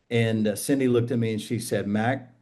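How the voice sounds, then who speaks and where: A man with a dark, mellow tone talks at a fairly quick pace in a medium pitch. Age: 60s. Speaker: pastor and author. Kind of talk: casual chat.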